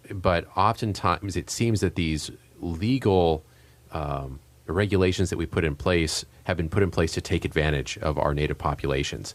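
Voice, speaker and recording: Over a silent background on a very clean recording, the voice holds a moderate pace with ordinary pitch variation. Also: man, very deep, low pitch for a man. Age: young. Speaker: radio host. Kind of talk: radio interview. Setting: radio studio.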